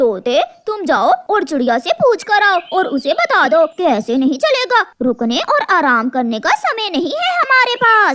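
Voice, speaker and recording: A cartoonish character voice at an extremely high pitch swings very widely up and down. It moves at a moderate pace with hardly any pauses. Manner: harsh, commanding.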